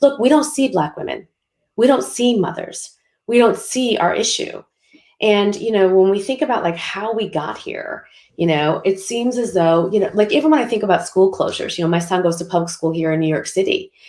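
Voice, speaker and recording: A woman with an American accent, a normal speaking voice at medium pitch, fairly quick delivery and lively intonation. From US Midwest, Schaumburg, Illinois. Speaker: panelist, advocate. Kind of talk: panel discussion.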